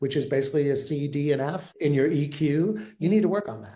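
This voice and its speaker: Audible room echo surrounds a man's dark, mellow tone. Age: 60s. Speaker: therapist turned veterinary leadership consultant. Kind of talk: interview. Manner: casual, conversational with fillers.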